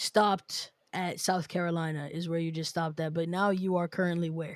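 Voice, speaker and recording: In a very clean recording with a silent background, a woman with an American accent talks at a medium pitch and moderate pace in an ordinary speaking voice. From New York City. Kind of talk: casual chat.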